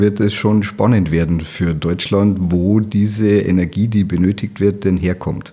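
An unremarkable speaking voice from a man, fairly low-pitched, fairly slow and fairly even in intonation. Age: 50s. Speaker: automotive and energy storage engineer. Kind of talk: interview.

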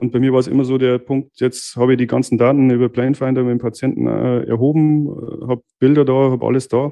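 The speaker talks very fast in a Bavarian accent with monotone, flat intonation. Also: man, medium pitch for a man. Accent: Bavarian dialect, noticeable. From Bavarian Forest, Bavaria, Germany. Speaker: master dental technician, lab owner. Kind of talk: casual interview. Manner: hesitant, many fillers.

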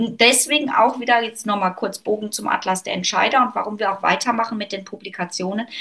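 Over noticeable background noise, a woman with a fairly high pitch talks at a very fast pace with hardly any pauses and ordinary pitch variation. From Germany, North Rhine-Westphalia. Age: 40s. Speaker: author and business consultant. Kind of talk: interview conversation.

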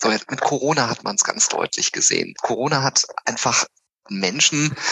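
A man with a plain, everyday voice speaks at a fairly slow pace and a medium pitch, using lively intonation. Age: 50s. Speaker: psychological counselor and coach. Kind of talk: casual chat.

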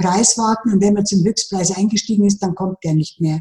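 A woman's somewhat breathy voice has a dark, mellow tone and fairly even intonation. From Lower Bavaria, Germany. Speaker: financial advisor. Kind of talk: interview.

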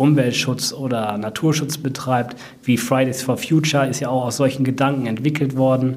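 Audible room echo surrounds a man speaking at a moderate pace. His medium-pitched voice is monotone, with flat intonation. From Sauerland, Germany (Brilon). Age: 30s. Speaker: nature park manager. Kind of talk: interview.

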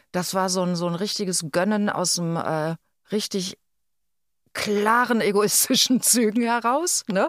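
An unremarkable speaking voice from a woman at medium pitch, fairly slow in pace with ordinary pitch variation, dry and close with no echo on a very clean recording with a silent background. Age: 50s. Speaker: podcast co-host. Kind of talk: casual chat.

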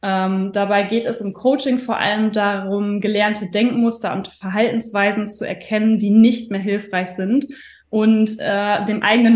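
Her voice somewhat breathy and fairly high, a woman speaks at a moderate pace with monotone, flat intonation. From northern Germany. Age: 30s. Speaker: stress and mindset coach. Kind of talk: podcast interview.

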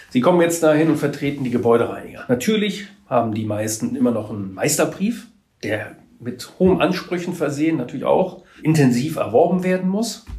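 Audible room echo surrounds a man who speaks at a fairly quick pace in a fairly high pitch with very wide pitch swings. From Trier area, Rhineland-Palatinate. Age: 50s. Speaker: trade association executive. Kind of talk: interview.

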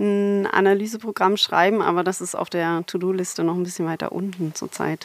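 Her intonation monotone and flat, a woman speaks at a medium pitch with hardly any pauses. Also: fairly quick pace. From Germany, Berlin. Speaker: computational linguistics professor. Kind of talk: interview. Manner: hesitant with many fillers.

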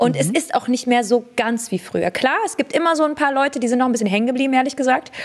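Against noticeable background noise, a high-pitched woman talks at a very fast pace with hardly any pauses, very even loudness and lively intonation. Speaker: beauty entrepreneur and fragrance creator. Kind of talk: casual interview chat.

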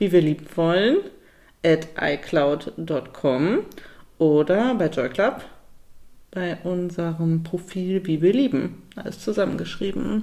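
Very slowly and with long, frequent pauses, a woman speaks at a fairly low pitch in a dark, mellow tone. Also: ordinary pitch variation. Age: 30s. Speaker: podcast co-host. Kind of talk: casual chat.

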